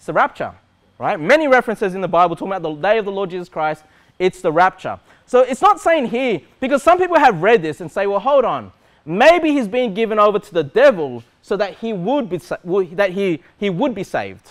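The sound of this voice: A man speaks with a high pitch for a man. His pitch swings widely. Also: fairly quick pace.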